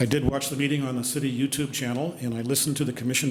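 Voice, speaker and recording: Amid audible room echo and noticeable background noise, a man speaks at a very fast pace and medium pitch with fairly even intonation. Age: 70s. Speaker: public commenter, landlord. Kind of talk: public comment at council meeting. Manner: formal.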